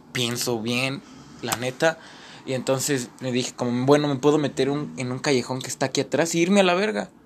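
The speech moves at a moderate pace. It is an ordinary speaking voice. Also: man. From Mexico City. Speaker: actor and playwright. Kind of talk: casual chat.

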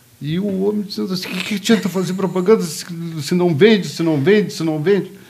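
Over noticeable background noise and audible room echo, a man with a high pitch and fairly even intonation talks at a moderate pace, leaving long, frequent pauses. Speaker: media sales executive. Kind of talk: casual chat.

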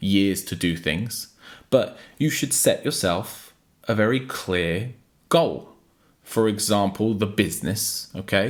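A man's unremarkable speaking voice at fairly low pitch and a fairly slow pace, with ordinary pitch variation, on a very clean recording with a silent background. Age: 30s. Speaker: motivational YouTuber. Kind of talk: motivational monologue.

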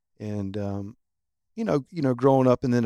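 This is a normal speaking voice with ordinary pitch variation, captured in a very clean recording with a silent background. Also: man. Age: 40s. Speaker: gym member, recovering alcoholic. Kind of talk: testimony.

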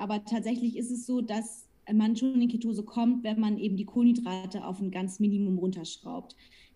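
A woman's fairly high, somewhat breathy voice with a dark, mellow tone moves at a fairly quick pace with fairly even intonation. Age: 20s. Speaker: nutrition coach. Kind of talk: casual interview.

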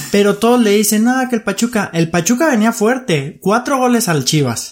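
The recording is very clean and the background silent, with the words delivered at a moderate speed. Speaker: sports podcast co-host. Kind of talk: casual chat.

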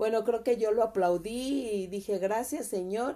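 A woman's fairly high, dark, mellow voice at a fairly slow pace with ordinary pitch variation. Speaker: mother of the host. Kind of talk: casual chat.

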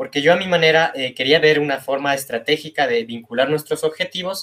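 A man talks in an ordinary speaking voice. His pitch sits fairly high for a man. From Ecuador, Quito. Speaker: industrial engineer, data analyst. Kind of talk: casual interview.

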